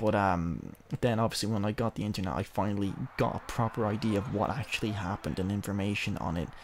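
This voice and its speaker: A man talks quietly. His pace is very fast. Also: fairly even intonation, very clean recording, silent background. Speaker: gaming video creator. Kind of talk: let's play commentary. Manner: hushed, low-key; halting, filler-heavy.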